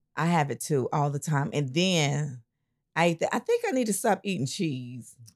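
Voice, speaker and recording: With a very deep, low pitch, a woman speaks at a fairly slow pace and with lively intonation. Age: 50s. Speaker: church elder and co-host. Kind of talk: casual chat.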